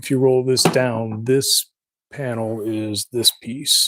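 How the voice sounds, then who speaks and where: A man mumbling with ordinary pitch variation, in a dry, close sound with no echo. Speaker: woodworker. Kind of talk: live stream.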